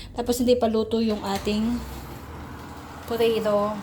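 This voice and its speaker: A woman of medium pitch speaks at a fairly slow pace amid audible room echo and noticeable background noise. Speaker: vlogger, overseas domestic worker. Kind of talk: casual vlog narration. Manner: chatty.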